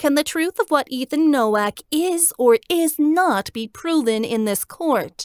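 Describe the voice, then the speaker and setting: A woman's put-on character voice, nasal and smug in tone, high-pitched with lively intonation, at a fairly slow pace with hardly any pauses, in a dry, close sound with no echo. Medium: read story. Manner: smug, purring.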